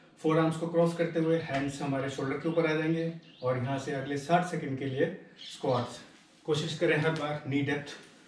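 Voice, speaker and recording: A man talks in a monotone, flat intonation at a fairly slow pace, with audible room echo and light background noise. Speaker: fitness instructor. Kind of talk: exercise tutorial instruction. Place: home room. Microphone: camera far.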